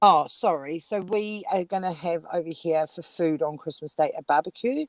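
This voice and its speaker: In a dry, close sound with no echo, a woman with a New Zealand accent speaks at a moderate pace in a fairly low voice with ordinary pitch variation. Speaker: livestream guest. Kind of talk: casual chat. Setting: livestream call, audio only while out.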